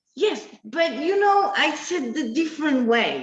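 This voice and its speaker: Speaking in an Argentine accent, a woman moves at a fairly slow pace with very wide pitch swings. Noticeable noise sits in the background. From Argentina, small town near Buenos Aires. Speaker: business owner, designer. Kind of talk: interview. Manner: halting.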